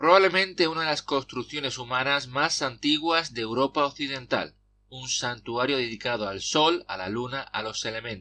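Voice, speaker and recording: Against a quiet background, a man at a medium pitch speaks in a bright, sharp tone. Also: ordinary pitch variation, moderate pace. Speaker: podcaster. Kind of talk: personal essay podcast narration.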